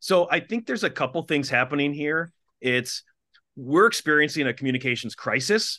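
A man with an Upper Midwest accent speaks at a fairly quick pace in a fairly high voice with a bright, sharp tone and lively intonation. The sound is dry and close with no echo, over a quiet background. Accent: Upper Midwest American. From Minnesota, small town. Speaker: TV anchor and communications executive. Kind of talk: interview.

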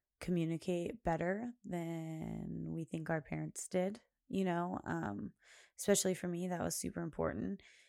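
The recording is very clean, with a silent background. A woman talks at a fairly slow pace. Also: dry, close sound with no echo. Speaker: podcast host. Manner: animated, loud, talks with many fillers.

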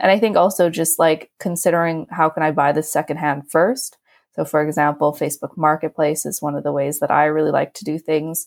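A woman's very deep, low voice at a fairly quick pace with hardly any pauses, on a very clean recording with a silent background. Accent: western Canadian. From western Canada (Alberta, Vancouver Island). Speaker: young professional. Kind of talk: interview.

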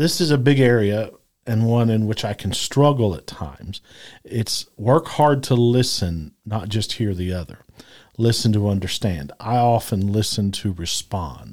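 A man with a fairly low pitch and an unremarkable speaking voice talks with lively intonation. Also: fairly slow pace. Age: 50s. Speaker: podcast co-host. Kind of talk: casual chat.

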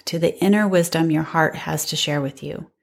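Speaking at a moderate pace, a woman has an unremarkable speaking voice, fairly low in pitch, with ordinary pitch variation. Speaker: mindfulness instructor and life coach. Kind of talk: guided meditation. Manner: calm, soft-spoken, with long pauses.

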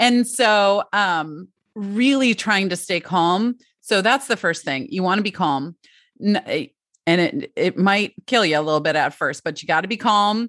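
Against a quiet background with a dry, close sound and no echo, a woman with an ordinary speaking voice talks at a fairly slow pace with lively intonation. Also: medium pitch for a woman. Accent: American. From Michigan, Detroit area. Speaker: parenting coach. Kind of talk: interview.

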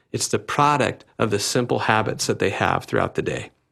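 With an unremarkable speaking voice, a man talks at medium pitch with ordinary pitch variation on a very clean recording with a silent background. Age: 30s. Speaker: pastor. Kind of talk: podcast monologue.

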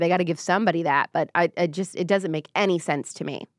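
On a very clean recording with a silent background and a dry, close sound with no echo, a woman with an American accent talks at a fairly quick pace in an animated tone. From US Midwest. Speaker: political commentator and podcast host. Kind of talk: casual live-stream commentary.

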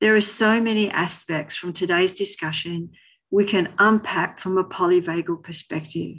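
A plain, everyday voice keeps its intonation fairly even while moving at a moderate pace. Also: woman, medium pitch for a woman. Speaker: podcast host. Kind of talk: interview for a podcast.

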